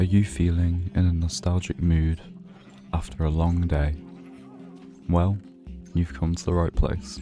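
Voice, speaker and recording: A man speaks at a fairly slow pace in a very deep, low pitch, his tone relaxed and calm. Music plays in the background, and he leaves long, frequent pauses. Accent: British. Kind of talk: sleep-friendly gaming longplay narration. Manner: soft-spoken, relaxed, calm.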